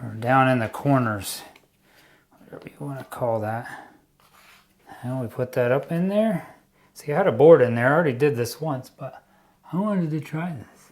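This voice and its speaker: A man speaks at a moderate pace and medium pitch with lively intonation. His loudness swings widely, and he pauses long and often. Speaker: DIY home renovation youtuber. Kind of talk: tutorial. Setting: basement under construction. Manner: casual.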